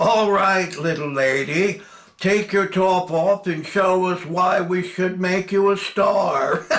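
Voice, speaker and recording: In a put-on character voice, a man speaks gruffly at a high pitch and a fairly slow pace, with fairly even intonation and light background noise. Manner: leering, domineering.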